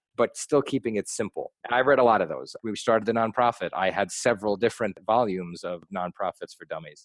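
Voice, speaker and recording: A man with an American accent and fairly low pitch speaks very fast with ordinary pitch variation, the sound dry and close with no echo. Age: 30s. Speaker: nonprofit founder, anti-bullying advocate. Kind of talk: interview.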